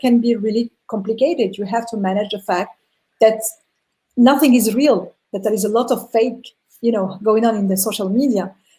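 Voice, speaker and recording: This woman's voice is somewhat breathy and fairly high-pitched. She talks at a moderate pace with ordinary pitch variation. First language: not English. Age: 40s. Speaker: entrepreneur. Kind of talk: interview.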